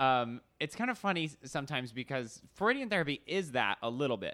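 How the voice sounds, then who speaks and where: On a very clean recording with a silent background, a man speaks in a bright, sharp tone with very wide pitch swings. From Arizona, US. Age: 20s. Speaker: writer and director. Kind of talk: casual chat.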